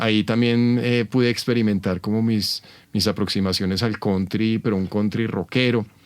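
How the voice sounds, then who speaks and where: In a very clean recording with a silent background, a man speaks with a Bogotá accent. His fairly low voice moves at a moderate pace with fairly even intonation. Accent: Bogotá Colombian Spanish. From Colombia, Bogotá. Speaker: rock and blues musician. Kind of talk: interview, casual chat. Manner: hesitant, many fillers.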